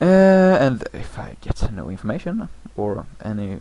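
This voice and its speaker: A man's voice with a non-native accent. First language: not English. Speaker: gaming commentator. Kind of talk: game commentary. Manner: halting; slow.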